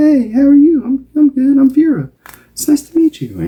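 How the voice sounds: The pitch is high and squeaky. It is a put-on character voice. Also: moderate pace.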